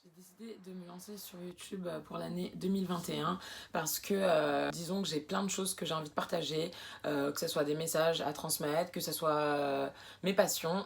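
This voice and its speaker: With vocal fry and a fairly low pitch, this woman talks at a moderate pace, her loudness swinging widely while her pitch varies in an ordinary way. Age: 20s. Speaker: sewing and upcycling vlogger. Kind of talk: casual vlog introduction. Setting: alone in her bedroom. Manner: hesitant, many fillers.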